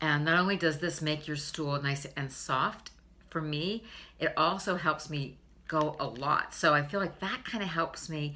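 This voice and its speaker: A woman's very deep, low voice with a bright, sharp tone, ordinary pitch variation and a fairly slow pace. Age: 60s. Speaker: beauty and health vlogger. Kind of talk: casual vlog tutorial. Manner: conversational with frequent fillers.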